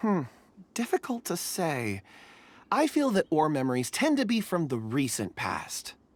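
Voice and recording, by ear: Putting on a character voice, a man speaks at a fairly slow pace in a fairly high pitch with very wide pitch swings.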